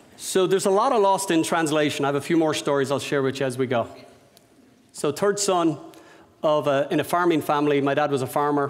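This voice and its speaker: Speaking very fast with an Irish accent, a man keeps his loudness very even at a fairly high pitch. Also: ordinary pitch variation. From Ireland, Dublin. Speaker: business owner and speaker. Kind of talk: lecture. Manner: unscripted, conversational.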